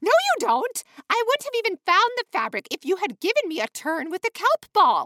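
At a moderate pace, a woman uses a put-on character voice pitched extremely high. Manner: sobbing.

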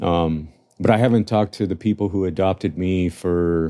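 Very deep and low in pitch, a man's voice with a dark, mellow tone moves at a moderate pace with fairly even intonation, on a very clean recording with a silent background. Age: 40s. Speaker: adoptee sharing personal story. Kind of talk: self-recorded testimony. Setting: self-recorded. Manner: halting, many repeated words.

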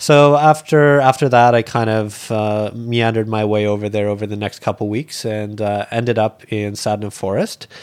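Speaking at a moderate pace with hardly any pauses, a man uses an unremarkable speaking voice, fairly low in pitch and fairly even in intonation. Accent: Canadian. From rural Canada. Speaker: school teacher and animal charity founder. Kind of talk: casual interview. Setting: hotel room.

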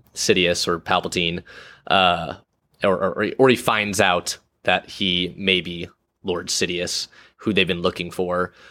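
Here is a man with a very deep, low voice and a bright, sharp tone. His intonation stays fairly even. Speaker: film podcast co-host. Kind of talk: casual chat. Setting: remote recording. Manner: halting, many fillers and repeats.

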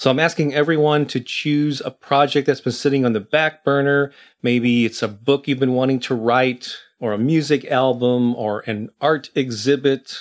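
With an ordinary speaking voice, a man speaks at a medium pitch and a moderate pace. His intonation stays fairly even on a very clean recording with a silent background. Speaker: podcast host and creativity coach. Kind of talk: unscripted motivational pep talk of spoken first-person affirmations. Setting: studio recording with background music and reverb. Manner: earnest, encouraging, steady affirmation delivery; unscripted, warm and conversational when speaking to listeners.

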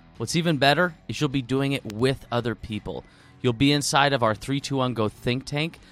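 With music in the background, a man talks in a medium pitch. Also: ordinary pitch variation, moderate pace. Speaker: podcast host. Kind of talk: casual interview.

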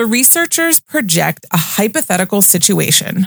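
A woman with medium pitch speaks at a moderate pace in an ordinary speaking voice, with dry, close sound and no echo. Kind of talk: casual chat. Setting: studio.

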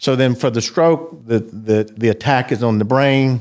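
In a very clean recording with a silent background, a man of medium pitch speaks at a fairly slow pace with fairly even intonation. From US South, South Georgia. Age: 50s. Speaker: cardiologist. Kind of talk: interview.

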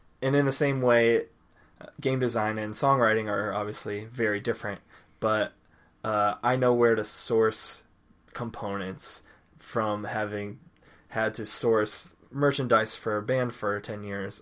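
A man speaks at a fairly slow pace with an American accent. His pitch is medium and his intonation fairly even. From US Midwest, Indiana. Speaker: musician and game designer. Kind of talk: casual chat.

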